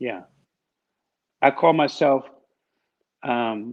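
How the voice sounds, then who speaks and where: This is a man with a slight Washington DC accent. His pitch variation is ordinary. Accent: slight northern (DC). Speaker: business owner. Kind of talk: interview.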